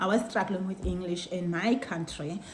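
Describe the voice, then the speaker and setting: A woman with a South African accent speaks at a fairly slow pace in a medium pitch, with ordinary pitch variation, audible room echo and noticeable background noise. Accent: Xhosa South African English. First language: Xhosa. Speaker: vlogger. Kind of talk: casual chat. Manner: code-switching between Xhosa and English; halting.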